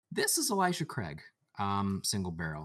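A man speaks at medium pitch. He has a Michigan accent. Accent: Michigan American. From Michigan, near Detroit. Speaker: engineer, podcast co-host. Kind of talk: casual chat. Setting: video call.

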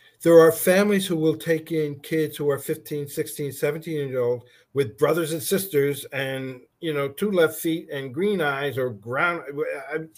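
A man with an ordinary speaking voice talks in a fairly high pitch with ordinary pitch variation. He leaves hardly any pauses. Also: fairly slow pace. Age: 60s. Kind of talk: casual interview.

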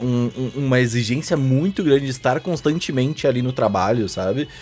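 Music can be heard in the background. Over it, a man speaks at a medium pitch. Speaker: podcast host. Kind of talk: casual chat.

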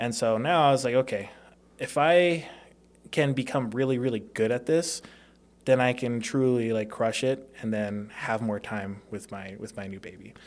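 A man with a medium-pitched, ordinary speaking voice talks at a moderate pace. His pitch varies normally while his loudness swings widely. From Las Vegas, Nevada (born in Hawaii). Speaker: door-to-door sales professional, former college football player. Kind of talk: casual interview.

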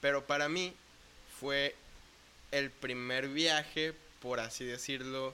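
A man in a western Mexican accent speaks at a very slow pace, with long, frequent pauses. His fairly high-pitched voice has a bright, sharp tone and fairly even intonation. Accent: Mexican Spanish, western Mexico. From Mexico, Puerto Vallarta, Jalisco. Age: 20s. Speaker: bass player in a church worship band. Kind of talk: casual interview.

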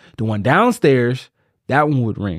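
A man speaks in a plain, everyday voice at a moderate pace, his medium pitch showing ordinary variation. The background is quiet. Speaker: podcast host. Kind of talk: casual banter, comedic chat.

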